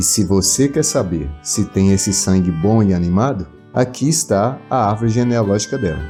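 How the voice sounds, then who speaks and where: Speaking at a moderate pace with very even loudness, a man uses lively intonation at a fairly low pitch while music plays in the background. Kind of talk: documentary narration.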